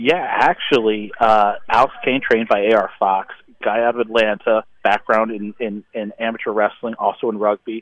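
With an unremarkable speaking voice, a man talks at a medium pitch with fairly even intonation and hardly any pauses. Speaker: wrestling promoter. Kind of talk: casual interview. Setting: phone call. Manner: hurried, repetitive fillers.

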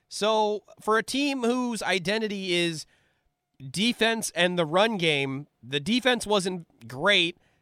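A man speaks in a high, bright and sharp voice, raised and projected with lively intonation. His pace is very slow, his loudness very even, and the sound is dry and close with no echo. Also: very clean recording, silent background. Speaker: sports analyst. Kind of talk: casual sports talk conversation.

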